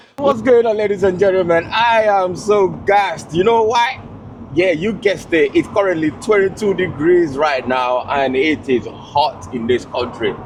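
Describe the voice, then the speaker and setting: A loud, animated male voice, high in pitch with very wide pitch swings, at a moderate pace over noticeable background noise. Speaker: car vlogger. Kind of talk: casual chat; vlog talk to camera. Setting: in a convertible car.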